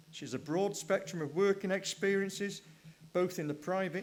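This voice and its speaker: A man's high-pitched voice at a fairly quick pace, with ordinary pitch variation, amid noticeable background noise. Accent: Welsh. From Wales. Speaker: session chair. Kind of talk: speaker introduction.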